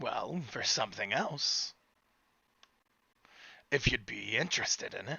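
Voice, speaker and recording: Putting on a raspy character voice, a man speaks at a fairly high pitch with long, frequent pauses. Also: moderate pace. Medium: actual play.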